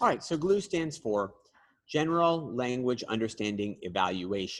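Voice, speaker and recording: A man speaks at a medium pitch. His voice makes very wide pitch swings. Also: moderate pace. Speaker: seminar presenter. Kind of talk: lecture. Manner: halting, many fillers.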